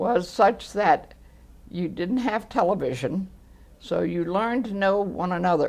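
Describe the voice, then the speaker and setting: A woman speaks at a fairly slow pace and medium pitch. Her intonation is lively, with vocal fry. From New England. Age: 80s+. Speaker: oral history interviewee. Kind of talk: oral history interview.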